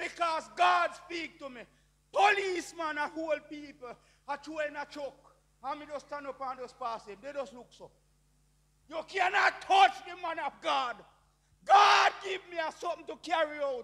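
At a moderate pace, a man with an extremely high pitch speaks in a raised, projected voice, with big swings in loudness and ordinary pitch variation. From Jamaica. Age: 60s. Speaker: preacher. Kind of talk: testimony. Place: church. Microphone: handheld.

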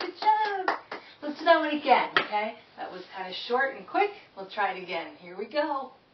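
Against light background noise and audible room echo, a woman talks at a moderate pace with big swings in loudness. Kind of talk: children's program host, songs and rhymes. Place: home room. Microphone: camera far.

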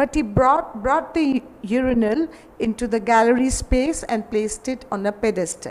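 A woman speaks in a high voice with lively intonation. Her pace is fairly slow. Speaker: artist and art history teacher. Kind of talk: panel discussion. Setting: gallery with live audience. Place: hall. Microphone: handheld.

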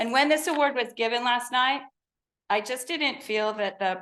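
A woman speaks loudly in a bright, sharp tone with ordinary pitch variation. The background is quiet. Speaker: education coordinator for waste company. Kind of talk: award presentation at board meeting. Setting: public board meeting. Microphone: microphone not working, speaking without it.

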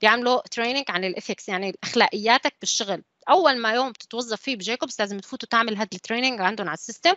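A woman talks very fast with hardly any pauses. Her fairly high voice has lively intonation. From UAE (Syrian family). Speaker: civil engineer, design manager. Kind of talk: online panel talk.

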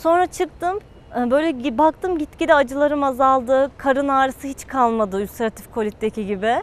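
A woman speaks with a high pitch and lively intonation at a moderate pace. The sound is dry, with no echo. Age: 20s. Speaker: patient, university student. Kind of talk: testimony. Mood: positive, relieved. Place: garden.

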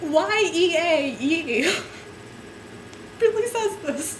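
Over light background noise, a woman with an extremely high pitch speaks in an amused tone with lively intonation. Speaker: amateur reader. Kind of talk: dramatic reading of a book to camera, giggling; casual talk to camera. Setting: home webcam recording. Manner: giggly, amused, stumbling over words. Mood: giggly, amused. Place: home room. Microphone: webcam.

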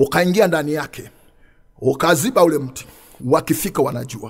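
A man speaking over a quiet background. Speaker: preacher. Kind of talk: sermon. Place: studio. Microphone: studio mic.

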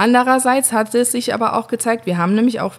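A woman talks at a very fast pace with ordinary pitch variation on a very clean recording with a silent background. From Saar region, Germany. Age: 30s. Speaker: winemaker. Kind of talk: interview. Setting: at the winery.

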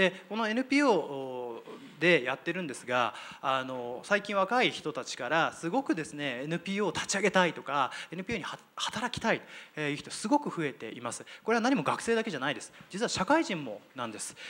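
At a moderate pace, a man talks with a high pitch, very wide pitch swings, big swings in loudness and a bright, sharp tone. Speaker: nonprofit leader. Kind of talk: panel discussion. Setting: stage with audience. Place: hall. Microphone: handheld.

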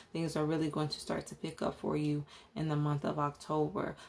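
This woman has a very deep, low pitch. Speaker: tarot reader. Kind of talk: tarot reading commentary.

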